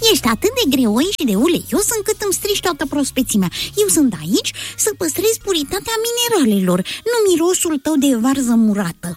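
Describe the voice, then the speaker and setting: This put-on character voice is shrill and high in pitch, with very wide pitch swings. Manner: scolding.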